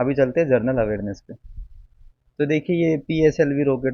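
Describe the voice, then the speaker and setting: Here a man speaks with a Haryanvi accent. His voice sits at a medium pitch. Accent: Haryanvi-tinged Hindi. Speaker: exam aspirant youtuber. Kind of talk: casual tutorial. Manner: informal, conversational.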